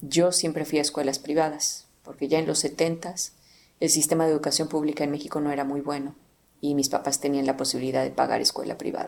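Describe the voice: A woman with a central Mexican accent talks at a fast pace with few pauses and little pitch movement. Her pitch is low, with vocal fry and a slightly mellow tone.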